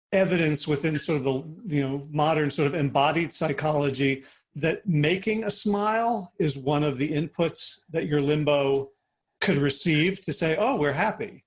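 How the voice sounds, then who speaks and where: At a moderate pace, the voice is somewhat breathy, with very even loudness. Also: man, fairly high pitch for a man, ordinary pitch variation. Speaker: podcast host. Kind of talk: podcast interview question.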